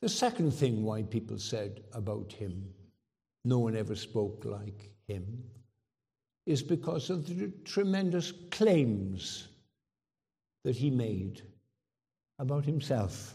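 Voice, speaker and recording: A man with a medium pitch and a dark, mellow, somewhat breathy tone speaks at a very slow pace with lively intonation and long, frequent pauses. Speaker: preacher. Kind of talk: sermon. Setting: church.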